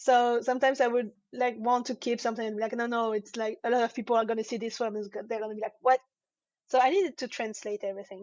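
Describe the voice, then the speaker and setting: At a very fast pace, a woman speaks in a fairly high pitch with fairly even intonation. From France. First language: French. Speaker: comic artist. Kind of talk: interview. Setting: live online show. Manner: halting.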